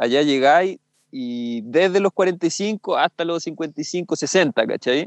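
Over a quiet background, a man with a Chilean accent speaks very slowly in a high voice with lively intonation, the sound dry and close with no echo. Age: 30s. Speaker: freeride skier. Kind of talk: casual interview.

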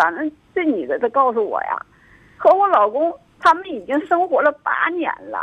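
A woman's high voice with very wide pitch swings, a moderate pace and long, frequent pauses, over noticeable background noise. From rural China. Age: 40s. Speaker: caller. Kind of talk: phone-in confession. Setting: phone call. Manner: halting, full of fillers.

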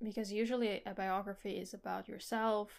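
In a very clean recording with a silent background, a woman with an ordinary speaking voice talks at a moderate pace, medium in pitch, with fairly even intonation. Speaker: podcast co-host. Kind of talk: casual chat about a book.

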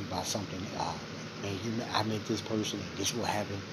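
A man with a fairly low pitch speaks with monotone, flat intonation. Noticeable background noise and audible room echo come through. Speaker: podcast host. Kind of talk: monologue commentary. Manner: low volume.

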